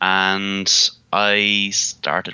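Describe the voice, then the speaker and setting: A man with an Irish accent speaks in a very deep, low pitch with monotone, flat intonation. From Ireland, Midlands. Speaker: IT consultant and technical pre-sales lead. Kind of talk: podcast interview. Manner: casual with many fillers.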